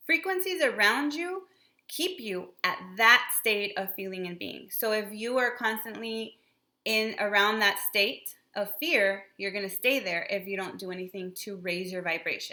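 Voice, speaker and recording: A woman with a bright, sharp tone talks at a fairly slow pace in a medium pitch with ordinary pitch variation. Her loudness swings widely. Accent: Spanish. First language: Spanish. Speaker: spiritual channel co-host. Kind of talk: casual explanatory talk.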